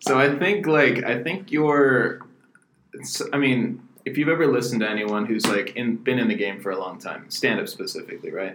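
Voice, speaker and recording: A man at medium pitch with very wide pitch swings and a moderate pace, in audible room echo. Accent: American. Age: 20s. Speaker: podcast co-host and booking agent. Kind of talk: casual chat.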